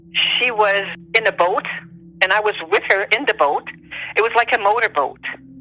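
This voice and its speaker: A woman speaks at a moderate pace in a fairly high voice, with ordinary pitch variation. Her loudness stays very even, and she takes long, frequent pauses. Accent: Quebec. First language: French. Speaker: interviewee sharing paranormal experiences. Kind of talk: personal testimony in interview.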